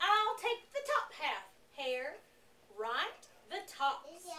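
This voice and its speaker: A put-on character voice from a woman, extremely high-pitched, with very wide pitch swings and a very slow pace. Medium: read story.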